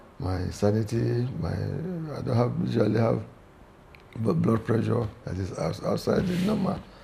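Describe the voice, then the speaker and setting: Noticeable background noise and audible room echo fill the recording. A man speaks at a fairly slow pace. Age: 70s. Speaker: retired naval officer and club member. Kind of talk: interview. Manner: halting, with many repetitions.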